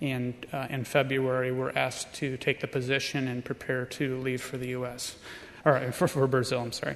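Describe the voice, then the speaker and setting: A man with an American accent at a medium pitch, moderate pace and monotone, flat intonation. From Illinois, US. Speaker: missionary preparing to move to Brazil. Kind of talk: testimony. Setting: church camp audience.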